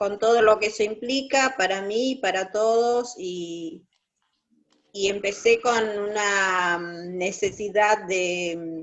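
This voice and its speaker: A woman speaks at a medium pitch with ordinary pitch variation. Her pace is very slow. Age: 60s. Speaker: church group member. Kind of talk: testimony. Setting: video call. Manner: halting.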